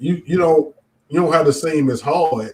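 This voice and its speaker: This man's voice sits fairly high in pitch. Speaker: stand-up comedian. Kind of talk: casual interview chat. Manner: halting with frequent repetitions.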